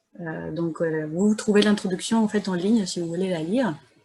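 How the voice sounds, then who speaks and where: A soft-spoken, somewhat breathy woman at a medium pitch and moderate pace. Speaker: academic discussant. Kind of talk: seminar commentary. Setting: video call.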